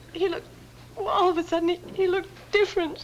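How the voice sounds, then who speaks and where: A put-on character voice, extremely high, shaky and tearful, at a very fast pace over clear background noise. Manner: tearful, shaky.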